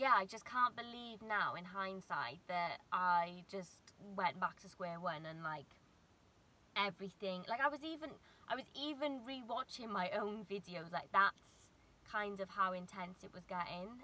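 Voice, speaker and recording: A bright, sharp tone in a dry sound with no echo. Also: woman, fairly slow pace. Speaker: vlogger. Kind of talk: casual vlog chat. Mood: reflective, candid about anxiety. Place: car. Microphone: phone near.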